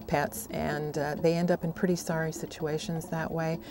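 A woman speaks at a moderate pace with a fairly low pitch. The sound is dry with no echo, but noticeable background noise is present. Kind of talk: interview answer. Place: garden. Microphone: lapel.

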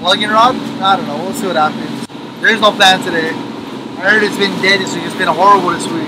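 Loud background noise fills the clip while a man rattles off his words at a very fast pace. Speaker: fishing vlogger. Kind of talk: casual vlog chat. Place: boat. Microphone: phone near.

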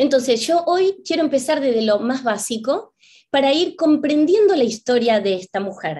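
The voice has a dark, mellow tone and very wide pitch swings. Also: woman, high pitch for a woman, moderate pace. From Argentina, Buenos Aires. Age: 50s. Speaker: spiritual teacher and author; spiritual teacher. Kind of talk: lecture. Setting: video call. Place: home room. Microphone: webcam.

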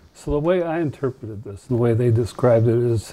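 Dark and mellow, the tone carries a somewhat breathy edge. Delivery runs fairly quick. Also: man. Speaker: television interviewer. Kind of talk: interview. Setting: studio. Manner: casual, laughs often.

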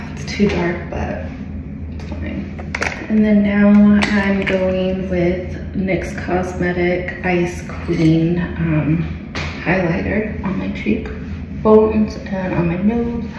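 Noticeable background noise and audible room echo fill the recording. A woman talks at a very slow pace. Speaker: makeup vlogger. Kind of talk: casual makeup tutorial chat. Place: home room. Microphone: phone near.

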